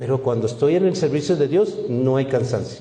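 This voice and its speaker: A man with a medium-pitched, dark, mellow, somewhat breathy voice speaks with lively intonation in a space with audible room echo. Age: 60s. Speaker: pastor. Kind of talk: sermon. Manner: animated.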